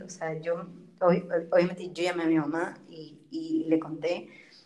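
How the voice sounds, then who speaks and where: Fairly low-pitched woman's voice at a fairly slow pace. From Ecuador. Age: 20s. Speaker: biology student. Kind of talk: casual interview chat.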